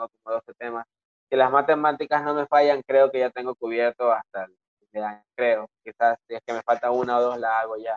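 This is a normal speaking voice at a moderate pace with fairly even intonation. The sound is dry and close, with no echo. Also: man, medium pitch for a man. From Ecuador, Guayaquil. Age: 20s. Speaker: rapper. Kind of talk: casual chat.

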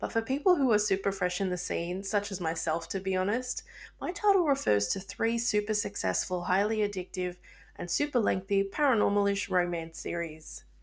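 Over a silent background in a very clean recording, a woman speaks at a moderate pace with an Australian accent. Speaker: podcast host and book reviewer. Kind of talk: scripted-sounding casual podcast intro.

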